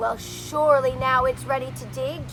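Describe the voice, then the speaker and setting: A whiny, put-on character voice from a woman at a moderate pace, with loud background noise. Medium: read story. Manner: whiny, complaining.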